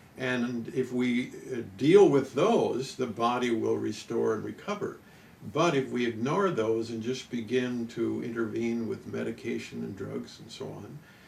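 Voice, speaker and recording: A man speaks at a fairly slow pace, his loudness swinging widely. Audible room echo and noticeable background noise surround him. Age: 70s. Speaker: nutrition expert and company pioneer. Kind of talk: interview. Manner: hesitant, frequent fillers.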